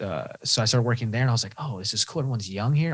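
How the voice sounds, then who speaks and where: A somewhat breathy, medium-pitched man's voice with an American accent, on a very clean recording with a silent background. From Southern California. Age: 50s. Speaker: podcast guest, trauma survivor. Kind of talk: testimony. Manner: animated.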